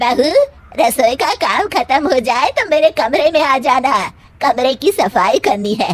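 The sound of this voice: Putting on a cartoonish character voice, a woman speaks high with very wide pitch swings. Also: moderate pace.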